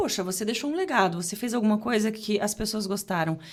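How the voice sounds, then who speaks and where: A woman speaks at a fairly quick pace. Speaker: journalist and TV presenter. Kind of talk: casual podcast interview. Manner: fast; articulate.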